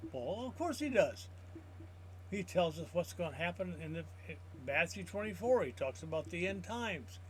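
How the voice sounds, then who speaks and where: A man speaks at a moderate pace, broken up by long, frequent pauses. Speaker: Bible teacher. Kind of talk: teaching. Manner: halting.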